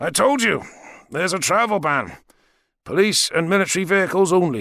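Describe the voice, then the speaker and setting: Using a put-on, raspy character voice, a man speaks at a fairly quick pace with a high pitch and ordinary pitch variation on a very clean recording with a silent background. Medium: read story. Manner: dry, unflappable.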